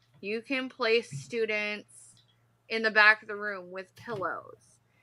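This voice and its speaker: A woman talks at a very slow pace with a fairly high pitch and ordinary pitch variation. Her tone is bright and sharp, and her loudness swings widely. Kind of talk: interview. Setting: live video stream.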